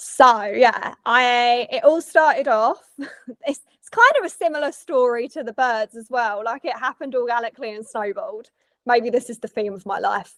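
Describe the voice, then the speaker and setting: With a British accent, the speaker barely pauses and shows ordinary pitch variation with big swings in loudness. The sound is dry and close, with no echo. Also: woman, high pitch for a woman, moderate pace. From England. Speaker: wildlife photographer. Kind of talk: casual interview chat.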